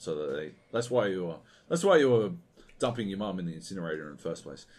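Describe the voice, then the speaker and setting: This man speaks in a very deep, low pitch with ordinary pitch variation and an animated tone. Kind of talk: angry rant. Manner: animated, sweary, sarcastic and exasperated; fast, scornful, mocking delivery.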